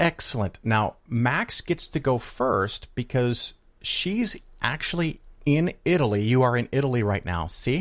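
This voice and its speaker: A man with a normal speaking voice in an American accent, lively intonation and a fairly slow pace. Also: medium pitch for a man. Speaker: podcast host and investing commentator. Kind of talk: casual monologue and interview.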